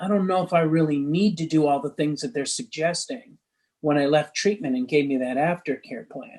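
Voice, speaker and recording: With an unremarkable speaking voice, a man talks at a moderate pace in a fairly high pitch, with ordinary pitch variation. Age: 60s. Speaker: recovery coach. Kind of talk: interview.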